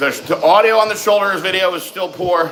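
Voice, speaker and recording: A man speaks loudly over noticeable background noise. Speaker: fitness livestream host. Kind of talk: live stream Q and A chat. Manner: animated.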